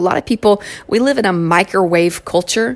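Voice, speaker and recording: A woman with a Southern US accent speaks at a moderate pace in an animated tone, her pitch medium with ordinary variation. Noticeable background noise runs under her voice. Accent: southern twang. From Kentucky. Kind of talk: solo inspirational podcast monologue.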